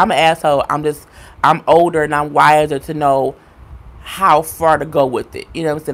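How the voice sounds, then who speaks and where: This woman has an American accent. Her pitch is very deep and low. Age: 30s. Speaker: YouTuber. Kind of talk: live stream chat. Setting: live stream. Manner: fast.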